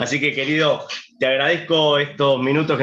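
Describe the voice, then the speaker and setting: A normal speaking voice at a fairly quick pace. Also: man. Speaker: sommelier. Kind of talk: online wine tasting host chat.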